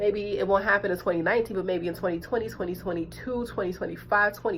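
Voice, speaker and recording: Talking very fast with vocal fry, a woman keeps a medium pitch and fairly even intonation. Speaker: tarot and oracle card reader. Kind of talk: spiritual guidance monologue.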